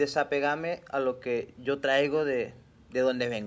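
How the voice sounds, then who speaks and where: A man speaks at a fairly high pitch with monotone, flat intonation. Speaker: podcast host. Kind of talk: casual chat.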